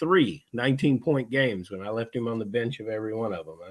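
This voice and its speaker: In a very clean recording with a silent background, a man with a normal speaking voice talks at medium pitch and a fairly quick pace, with ordinary pitch variation. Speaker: fantasy football podcast host. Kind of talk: casual chat.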